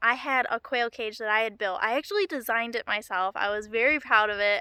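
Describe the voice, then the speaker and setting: In a put-on character voice, a woman rattles along at a very fast pace, her fairly high pitch sounding shaky, with a dry, close sound and no echo. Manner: shaky voice.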